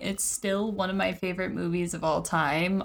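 In an ordinary speaking voice, a woman talks at a fairly slow pace and medium pitch. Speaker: podcast host. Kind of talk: casual chat.

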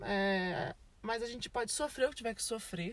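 Using an unremarkable speaking voice, the speaker keeps a moderate pace and an ordinary amount of pitch variation. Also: woman. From Brazil. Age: 20s. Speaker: podcast host. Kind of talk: casual chat. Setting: in a parked car.

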